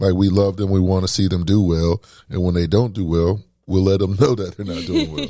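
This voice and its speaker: Very deep and low in pitch, a man with a dark, mellow tone speaks at a fairly quick pace on a very clean recording with a silent background. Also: fairly even intonation. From Clay County, northeast Florida. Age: 30s. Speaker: radio producer. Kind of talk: casual interview chat.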